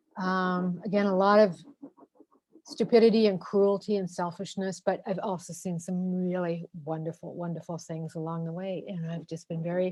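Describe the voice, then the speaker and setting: A woman's medium-pitched voice holds fairly even intonation at a moderate pace. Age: 60s. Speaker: foreign correspondent. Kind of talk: personal career story in an online panel. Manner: halting, many fillers.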